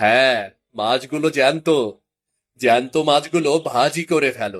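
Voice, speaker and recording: A man's gruff, put-on character voice at a medium pitch, moderate pace and ordinary pitch variation. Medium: cartoon. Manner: gruff, impatient.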